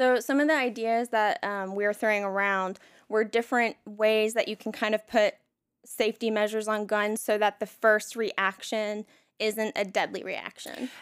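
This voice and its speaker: A woman's plain, everyday voice with an American accent, fairly high in pitch, at a moderate pace with fairly even intonation, in a very clean recording with a silent background and a dry, close sound with no echo. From North Carolina (Elon/Burlington). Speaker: artist. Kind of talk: casual chat.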